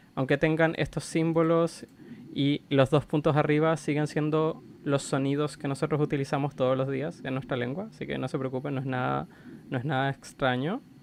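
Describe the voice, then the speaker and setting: Fairly high for a man, the voice is an unremarkable speaking voice. He holds a moderate pace and fairly even intonation. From Chile. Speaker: language content creator. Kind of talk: educational explainer. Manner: casual, conversational.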